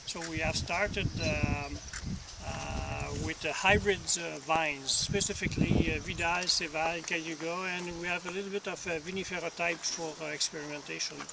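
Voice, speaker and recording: Against noticeable background noise, a man with a high pitch talks at a moderate pace in a monotone, flat intonation. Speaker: vineyard owner. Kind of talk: guided tour talk. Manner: halting, many fillers.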